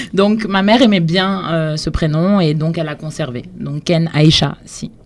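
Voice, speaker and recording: A woman's fairly low voice at a fairly slow pace, with ordinary pitch variation and noticeable background noise. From Senegal (Dakar). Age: 20s. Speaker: cultural entrepreneur, blog founder. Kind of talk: radio interview.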